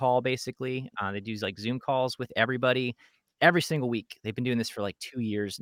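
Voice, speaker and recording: On a very clean recording with a silent background and a dry, close sound with no echo, a man with an American accent talks at a moderate pace and a medium pitch, his tone bright and sharp and his intonation fairly even. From New Jersey. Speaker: songwriter and podcast co-host. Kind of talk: casual chat.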